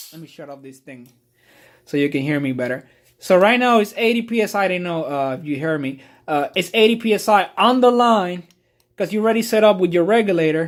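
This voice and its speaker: A man with a Puerto Rican accent talks at a fairly quick pace with a high pitch, lively intonation and big swings in loudness. The recording is very clean, with a silent background. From Puerto Rico. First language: Spanish. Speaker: car detailer. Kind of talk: tutorial. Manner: casual, halting with fillers.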